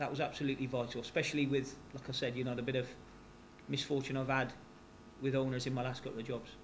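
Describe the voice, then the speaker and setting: A man with a West Country accent speaks at a very fast pace in a medium pitch with monotone, flat intonation and long, frequent pauses. His voice is somewhat breathy, and audible room echo is present. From West Country, England. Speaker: football manager. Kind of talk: press conference. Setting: press conference at stadium.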